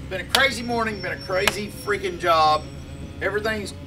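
A man speaks in a raised, projected voice. Light background noise runs underneath. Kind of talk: casual vlog chat. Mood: frustrated, telling a bad day. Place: workshop.

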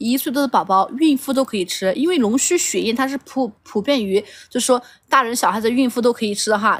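Against a quiet background, a woman speaks very fast in a high pitch with ordinary pitch variation. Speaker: livestream seller. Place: garden. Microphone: phone near.

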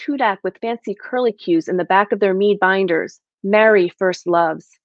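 A woman keeps a moderate pace while the background remains quiet. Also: dry sound with no echo. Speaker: guest poet. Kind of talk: poetry reading. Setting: video call. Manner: measured, reflective, steady read with quiet, narrative delivery. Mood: calm, reflective. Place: home room. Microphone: webcam.

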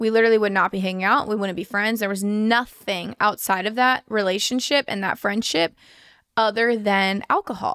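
Against a quiet background, a woman speaks at a moderate pace with an animated, bright, sharp tone. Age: 20s. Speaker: podcast host. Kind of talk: casual chat. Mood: earnest, reflective. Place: home room. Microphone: studio mic.

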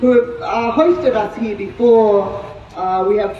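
A woman talks over light background noise. The room adds an audible echo. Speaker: speaker. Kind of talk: speech. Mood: earnest, committed. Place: street.

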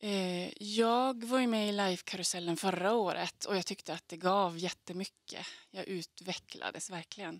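A woman at a medium pitch talks at a moderate pace with hardly any pauses and fairly even intonation, the sound dry with no echo and the background quiet. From Skellefteå, Västerbotten, northern Sweden; Västerbotten, Sweden. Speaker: singer-songwriter. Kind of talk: interview answers. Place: studio. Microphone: handheld.

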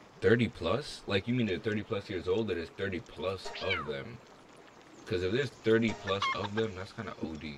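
A man at a moderate pace with ordinary pitch variation, against noticeable background noise. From outside the US. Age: 20s. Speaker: gaming YouTuber. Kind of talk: let's play commentary with chat. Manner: animated. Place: home room.

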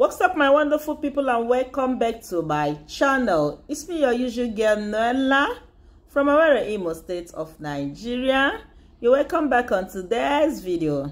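Moderately paced, a woman talks in a high pitch. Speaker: vlogger. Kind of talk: casual vlog chat. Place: car. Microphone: phone near.

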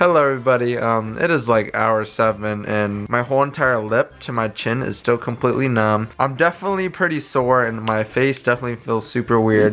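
Faint music plays in the background as a man talks at a fairly quick pace with ordinary pitch variation and hardly any pauses. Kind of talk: casual vlog chat. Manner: slurred, sore, numb-lipped speech. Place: home room. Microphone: phone near.

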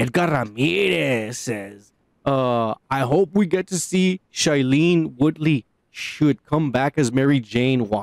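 A man speaks at a very slow pace with lively intonation. The sound is dry with no echo, and the background is quiet. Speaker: podcast co-host. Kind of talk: casual chat. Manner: animated. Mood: relaxed, joking. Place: home room. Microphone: studio mic.

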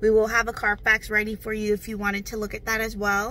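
The woman's tone is bright and sharp, and the sound is dry with no echo. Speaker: car salesperson. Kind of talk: sales walkaround video message. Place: car. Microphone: phone near.

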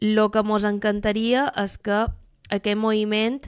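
A woman speaks at medium pitch and a fairly slow pace. The recording is very clean with a silent background. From Mallorca. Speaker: doctoral student and activist. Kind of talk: radio interview.

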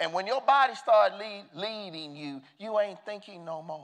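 This man has an American accent. His intonation is lively. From Southern United States. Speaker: preacher, bishop. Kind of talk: church sermon. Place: church. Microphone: lapel.

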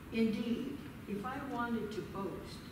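A woman's voice carries audible room echo over noticeable background noise. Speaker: scripture reader. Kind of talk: scripture reading. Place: church.

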